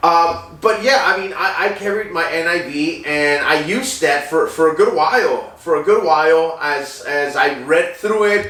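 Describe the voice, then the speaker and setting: A man with a high voice talks at a moderate pace, with ordinary pitch variation, noticeable background noise and audible room echo. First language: Spanish. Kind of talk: personal testimony. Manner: halting, many fillers.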